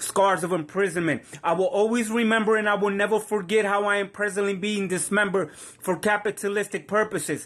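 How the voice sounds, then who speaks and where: Over noticeable background noise, a high-voiced man talks at a fairly quick clip with fairly even intonation. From Puerto Rican heritage. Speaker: spoken word poet. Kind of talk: spoken word poetry performance. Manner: dramatic.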